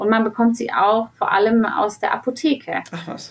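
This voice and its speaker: A woman speaks in a plain, everyday voice at a fairly slow pace. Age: 30s. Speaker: sales manager at a fair-trade chocolate company. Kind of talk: podcast interview.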